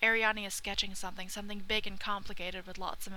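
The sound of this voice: Just an unforced reading voice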